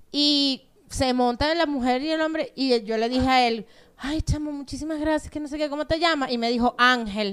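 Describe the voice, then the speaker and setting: A woman talks at a moderate pace, her high pitch showing ordinary pitch variation. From Venezuela, Los Teques. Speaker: comedian. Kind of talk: casual chat.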